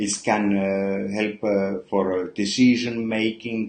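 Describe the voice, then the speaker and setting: At a very slow pace, a man with a non-native accent speaks in a fairly low pitch. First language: not English. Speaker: perfumer. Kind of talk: livestream product talk. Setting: live stream. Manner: halting, many fillers.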